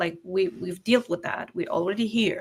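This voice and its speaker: A woman of medium pitch speaks with a non-native accent. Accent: foreign, non-native English. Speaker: online business entrepreneur. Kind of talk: casual interview conversation.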